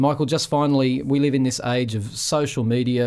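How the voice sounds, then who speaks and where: The speaker is a man with an Australian accent. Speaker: community radio host. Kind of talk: radio talk show.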